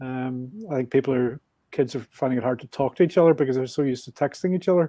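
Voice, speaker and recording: A man talks very fast with a strong Northern Irish accent, medium pitch and ordinary pitch variation. The tone is dark and mellow, and the sound is dry and close with no echo. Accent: Northern Irish, thick. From Northern Ireland, Belfast. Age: 60s. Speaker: motorbike traveler. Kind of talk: podcast interview.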